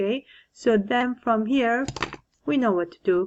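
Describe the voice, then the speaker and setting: Her intonation is lively and her pitch fairly high. The woman speaks at a fairly slow pace. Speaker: math teacher. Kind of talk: tutorial. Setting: recorded homework video.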